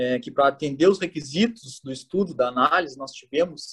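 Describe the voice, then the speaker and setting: A man's speech moves at a moderate pace, his intonation lively. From southern Brazil (Rio Grande do Sul). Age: 30s. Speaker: automation engineer, planning manager. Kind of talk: interview. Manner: halting, many fillers.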